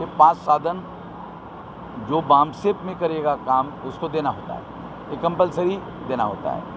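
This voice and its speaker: Amid noticeable background noise, a man with fairly high pitch and ordinary pitch variation speaks with long, frequent pauses. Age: 60s. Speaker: activist organization leader. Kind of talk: interview.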